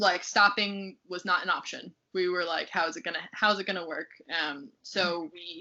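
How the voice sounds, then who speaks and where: Her loudness swings widely as a woman with an American accent talks at a moderate pace with fairly even intonation. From United States. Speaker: research fellow. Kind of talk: interview. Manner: halting, many fillers.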